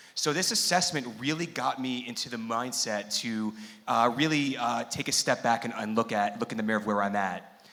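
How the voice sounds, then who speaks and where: Against noticeable background noise, a man with an American accent talks at a moderate pace in a medium-pitched voice with ordinary pitch variation. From New York. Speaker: coaching company executive. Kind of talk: workshop panel talk. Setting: seminar venue with live audience. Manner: loud. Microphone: microphone may be cutting out.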